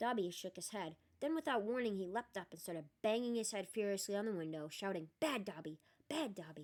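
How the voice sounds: The voice heard here reads in a natural way.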